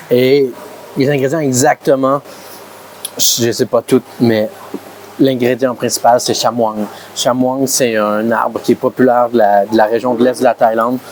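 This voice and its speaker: A man with a medium-pitched voice speaks at a fairly slow pace with long, frequent pauses, very even loudness and fairly even intonation. Noticeable background noise is present. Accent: Quebec. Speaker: food vlogger. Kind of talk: casual vlog. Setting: restaurant. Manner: halting, stammering.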